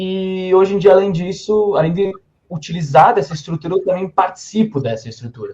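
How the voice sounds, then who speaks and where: A man talks at a fairly quick pace in a high voice with a dark, mellow tone. His pitch variation is ordinary. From southern Brazil, Serra Gaúcha (Rio Grande do Sul). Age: 20s. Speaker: author and publisher's legal officer. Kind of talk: podcast interview chat.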